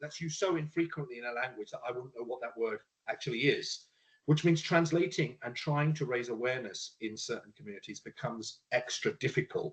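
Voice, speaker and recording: A man talks at a fairly quick pace with a fairly high pitch and ordinary pitch variation. His voice is somewhat breathy, with big swings in loudness. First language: Punjabi. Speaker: panelist. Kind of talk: panel discussion. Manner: halting.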